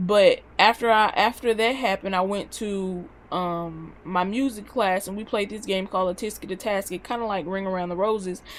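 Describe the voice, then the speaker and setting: The speaker has a Southern US accent and an animated tone, moving at a moderate pace. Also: woman. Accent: country-sounding Southern US. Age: 20s. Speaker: vlogger. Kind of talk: casual vlog monologue.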